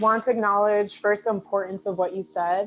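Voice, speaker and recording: With a New York accent, a woman speaks at a medium pitch. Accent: New York City. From South Bronx, New York City. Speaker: lawyer, webinar panelist. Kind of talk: panel discussion. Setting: video call webinar.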